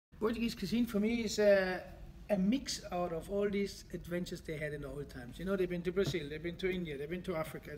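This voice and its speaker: There is light background noise behind a man with an Austrian accent. He speaks at a fairly quick pace in a high pitch. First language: German. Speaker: chef. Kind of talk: interview answer. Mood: relaxed, enthusiastic. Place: home room. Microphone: phone near.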